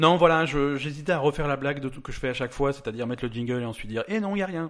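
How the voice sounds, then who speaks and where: This man's pitch is fairly high. He talks at a very fast pace with lively intonation. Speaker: podcast host. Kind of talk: casual chat. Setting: studio.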